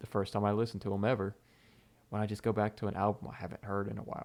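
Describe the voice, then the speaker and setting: This man has a Southern US accent and a fairly low pitch. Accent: southern twang. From US South, Mississippi. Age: 20s. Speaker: content creator. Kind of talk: live stream Q&A. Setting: live stream. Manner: casual, rambling with fillers.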